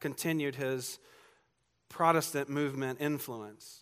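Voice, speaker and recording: Over a silent background in a very clean recording, a man with a Southern US accent speaks at a moderate pace with fairly high pitch and ordinary pitch variation. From US South, Georgia. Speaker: pastor. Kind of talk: sermon.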